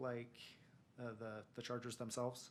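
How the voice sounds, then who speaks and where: A man mumbles at a fairly quick pace. His pitch is medium. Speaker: city planning staff. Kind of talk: staff presentation at council meeting. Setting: city council meeting. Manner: mumbling.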